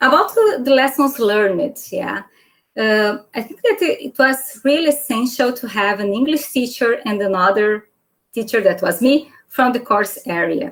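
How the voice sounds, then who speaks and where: A woman with a Brazilian Portuguese accent speaks at a moderate pace, her high pitch carried by lively intonation. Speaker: informatics lecturer. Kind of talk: panel talk. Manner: halting.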